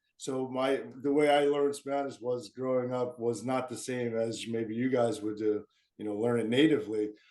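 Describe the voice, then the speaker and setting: In an American accent, a man with a plain, everyday voice speaks at a medium pitch and a moderate pace, his intonation fairly even. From US, military family. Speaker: marathon runner. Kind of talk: interview.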